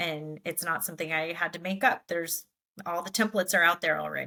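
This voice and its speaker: A woman's fairly low voice with a bright, sharp tone, vocal fry and a fairly quick pace. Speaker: podcast co-host. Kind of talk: casual chat.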